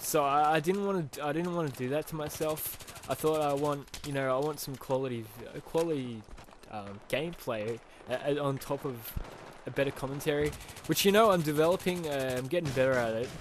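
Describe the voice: Moving at a fairly quick pace, a man speaks with a fairly high pitch and ordinary pitch variation.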